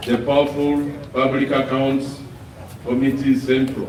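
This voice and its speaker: Noticeable background noise and audible room echo fill the recording. The speaker talks at a fairly slow pace. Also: man. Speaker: opposition party politician. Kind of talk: press conference statement. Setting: press conference.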